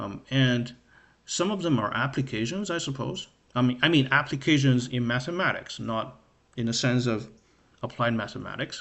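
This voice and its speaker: A man with a non-native accent, medium pitch, ordinary pitch variation and a moderate pace. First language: not English. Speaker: math livestreamer. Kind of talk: livestream study session. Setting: live stream. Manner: hesitant, many fillers.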